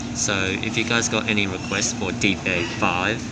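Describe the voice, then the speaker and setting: A man talks against loud background noise. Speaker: train vlogger. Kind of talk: casual vlog chat. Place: train. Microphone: phone near.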